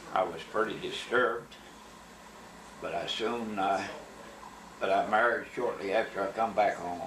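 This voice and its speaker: A man speaks in an Appalachian accent, with long, frequent pauses. Noticeable background noise and audible room echo fill the recording. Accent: Appalachian Kentucky. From Kentucky (Berea, Madison County). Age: 80s+. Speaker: war veteran. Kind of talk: life story interview.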